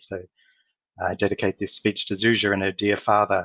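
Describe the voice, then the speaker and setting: Fast and flat, a man with an Australian accent talks at a very fast pace in a fairly low, monotone voice. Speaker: corporate executive and speaker. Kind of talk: conference talk.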